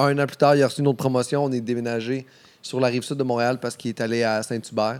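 Speaking very fast in a Quebec accent, a man keeps a medium pitch and a monotone, flat intonation. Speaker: comedian. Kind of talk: casual chat. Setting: studio.

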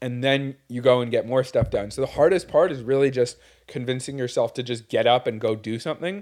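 In a Montreal accent, a man talks at a fairly quick pace and medium pitch with ordinary pitch variation, on a very clean recording with a silent background. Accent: Montreal English Canadian. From Quebec, Montreal. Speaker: podcast co-host, business owner. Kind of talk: casual chat. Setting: studio with video.

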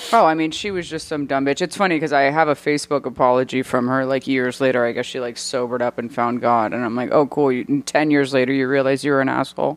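Over noticeable background noise, a woman with a very deep, low pitch talks at a very fast pace with hardly any pauses and ordinary pitch variation. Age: 30s. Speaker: actor. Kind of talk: casual chat.

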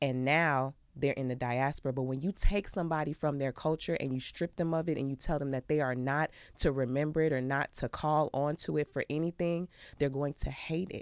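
A woman with a very deep, low pitch and an American accent, animated in tone and fairly quick, on a very clean, dry, close recording with a silent background and no echo. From Chicago. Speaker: Olympic athlete and chiropractor. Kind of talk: casual chat.

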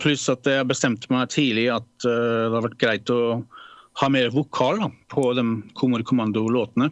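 A man speaks at a moderate pace with long, frequent pauses. His pitch is medium and his intonation fairly even. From Norway, Fredrikstad. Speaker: composer and music producer. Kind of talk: casual interview.

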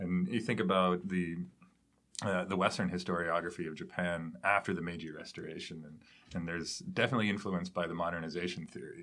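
Speaking at a very fast pace, a man with a very deep, low pitch and a bright, sharp tone keeps fairly even intonation amid big swings in loudness. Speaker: podcast host. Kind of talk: interview.

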